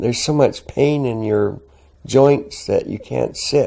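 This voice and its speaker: A man is speaking here. He talks with a Canadian accent. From southern Alberta, Canada. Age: 70s. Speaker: oral history interviewee. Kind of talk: oral history interview. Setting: at home. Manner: halting, many fillers.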